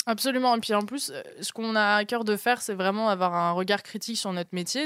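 On a very clean recording with a silent background, a woman talks at a very fast pace with ordinary pitch variation. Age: 20s. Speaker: journalist, podcaster. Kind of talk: casual storytelling.

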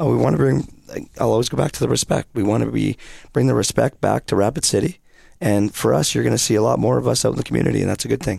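Someone with a Canadian accent speaks very fast in a dark, mellow tone with vocal fry and very wide pitch swings, on a very clean recording with a silent background. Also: man, very deep, low pitch for a man. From British Columbia, Canada. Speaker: hockey coach. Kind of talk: casual interview.

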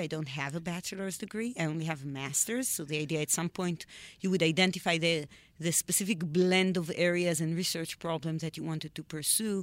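Her fairly low voice moves at a very fast pace with fairly even intonation. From Israel. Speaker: biology researcher. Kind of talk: interview.

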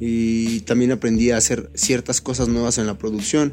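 Music plays in the background as a man with a medium-pitched voice speaks at a moderate pace. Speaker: beatmaker and rapper. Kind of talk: casual chat.

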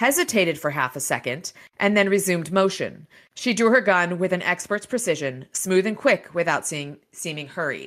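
With ordinary pitch variation, the clip features an unforced reading voice.

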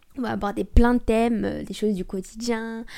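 Woman at a fairly high pitch, dark, mellow tone and moderate pace, on a very clean recording with a silent background. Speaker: podcast host. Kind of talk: solo casual monologue. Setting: home recording with microphone.

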